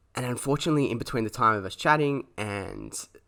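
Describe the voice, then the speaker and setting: With an Australian accent and a bright, sharp tone, a man talks at a fairly quick pace with ordinary pitch variation on a very clean recording with a silent background. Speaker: podcast host. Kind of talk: personal storytelling. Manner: halting, many fillers.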